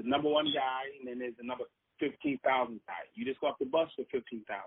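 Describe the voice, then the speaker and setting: A man with an American accent speaks in a normal speaking voice at a medium pitch. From Boston. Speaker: former prisoner turned speaker. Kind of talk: interview storytelling.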